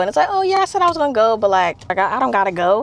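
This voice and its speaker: A woman talks at a very fast pace with an American accent and fairly high pitch. Background noise is noticeable. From northern New Jersey. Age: 20s. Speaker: lifestyle vlogger. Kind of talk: casual vlog talk to camera. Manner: casual, halting with many fillers.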